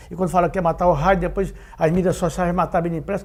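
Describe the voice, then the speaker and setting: A man is speaking. His pitch is high. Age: 60s. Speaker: veteran journalist and advertising businessman. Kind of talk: interview. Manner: hesitant, many fillers.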